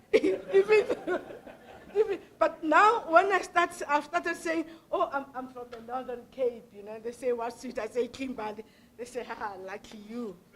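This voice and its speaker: With a South African accent, a woman speaks at a high pitch, her pitch swinging very widely and her loudness shifting sharply. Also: moderate pace. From South Africa, Pretoria. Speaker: professor. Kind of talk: public lecture Q&A response. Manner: halting, many fillers.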